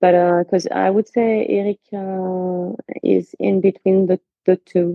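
Her pitch fairly low, a woman speaks with a French accent at a fairly slow pace in a monotone, flat intonation. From France. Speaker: aerobatic pilot and airline pilot. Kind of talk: casual interview.

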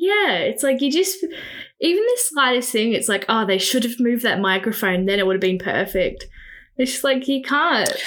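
A woman with an Australian accent and a high pitch speaks at a moderate pace in an animated tone, her pitch swinging very widely while her loudness stays very even. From Victoria, Australia (Riddells Creek, near Macedon). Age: 20s. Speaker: photographer. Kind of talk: casual chat. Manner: animated, laughing often.

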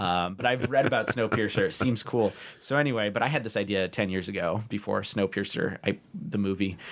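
A man with an American accent and an ordinary speaking voice talks at a fairly quick pace with a fairly low pitch and ordinary pitch variation, on a very clean recording with a silent background. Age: 20s. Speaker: urban planner. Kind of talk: casual chat.

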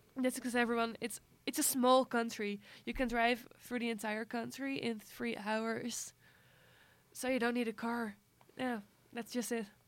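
The speaker uses a Dutch accent with monotone, flat intonation and long, frequent pauses. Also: woman, fairly high pitch for a woman, moderate pace. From Amsterdam, Netherlands. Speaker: film journalist. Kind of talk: casual interview.

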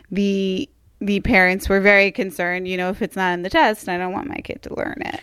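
A woman's medium-pitched, normal speaking voice, with ordinary pitch variation and a fairly quick pace. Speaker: podcast host. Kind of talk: casual chat.

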